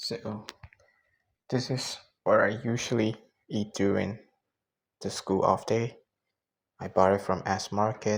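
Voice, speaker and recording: A man with a fairly low pitch speaks fairly slowly in a flat monotone, with long, frequent pauses. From Myanmar. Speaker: student. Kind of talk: casual cooking vlog talk to camera. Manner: relaxed, chill.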